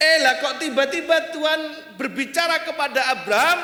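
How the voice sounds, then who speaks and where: With an East Javanese accent, a man speaks in a raised, projected voice at a fairly slow pace amid noticeable background noise and audible room echo. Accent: East Javanese accent still noticeable. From East Java (Kediri), Indonesia. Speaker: guest preacher. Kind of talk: sermon. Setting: church.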